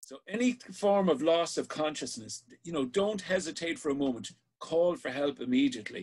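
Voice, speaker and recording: A man at a moderate pace with an Irish accent, big swings in loudness and very wide pitch swings. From Ireland. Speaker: sea safety instructor. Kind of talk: online safety class. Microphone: webcam.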